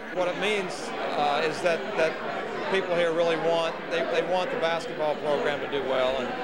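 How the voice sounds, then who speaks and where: Over loud background noise, a man speaks at a moderate pace with ordinary pitch variation. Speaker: new basketball coach. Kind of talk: interview answer. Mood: appreciative, humble. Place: bar. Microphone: handheld.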